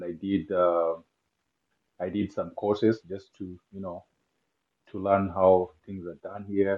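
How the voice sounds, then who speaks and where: Very deep, low male voice in a Kenyan accent, flat and monotone in intonation. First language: not English (Kenyan language). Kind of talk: casual interview chat.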